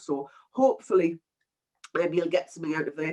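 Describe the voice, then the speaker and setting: A woman talks at a very fast pace in a Geordie accent. Her pitch varies an ordinary amount. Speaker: PMO consultant and webinar presenter. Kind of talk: webinar presentation. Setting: online webinar, cameras off. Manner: casual, filler-heavy.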